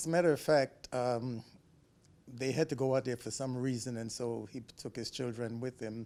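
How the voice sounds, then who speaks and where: The tone is dark and mellow, and the intonation stays fairly even. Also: man, medium pitch for a man, moderate pace. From Belize. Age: 70s. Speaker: interviewee, emigrant. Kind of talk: interview, life story. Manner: halting, many fillers.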